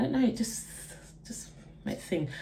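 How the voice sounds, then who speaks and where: With a London accent, a woman speaks in very wide pitch swings amid audible room echo. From east London, Essex. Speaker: beauty and lifestyle vlogger. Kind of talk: get-ready-with-me chat and Q&A. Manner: animated.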